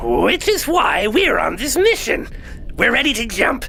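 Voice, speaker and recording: Clear background noise is present. Over it, a man puts on a character voice. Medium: audio drama. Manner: aggrieved, dry.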